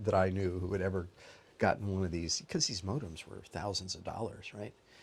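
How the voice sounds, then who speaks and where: Talking at a fairly quick pace, a man with a very deep, low pitch sounds somewhat breathy. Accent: American. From US West, Denver, Colorado. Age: 70s. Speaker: professor. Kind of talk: interview. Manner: halting.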